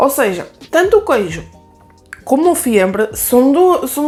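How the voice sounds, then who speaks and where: A woman speaks with a northern Portuguese accent. Music plays in the background. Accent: northern European Portuguese. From Aveiro district, northern Portugal. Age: 20s. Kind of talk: casual talk to camera.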